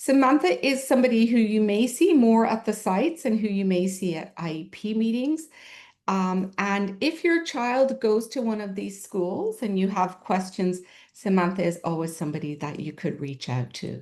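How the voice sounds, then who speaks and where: At a moderate pace, a woman with a slight Irish accent speaks with very wide pitch swings. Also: medium pitch for a woman, quiet background. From Ireland. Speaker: special education administrator. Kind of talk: presentation to parents.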